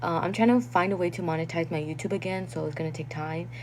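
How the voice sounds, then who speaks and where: A woman with a non-native accent speaks at a fairly low pitch with lively intonation. There is noticeable background noise. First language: not English. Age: 20s. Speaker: content creator. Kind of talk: livestream chat reading comments. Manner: casual, filler-heavy.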